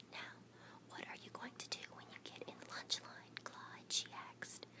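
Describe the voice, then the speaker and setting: Whispering comes through noticeable background noise. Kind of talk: reading a children's picture book aloud. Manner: soft-spoken, whispering.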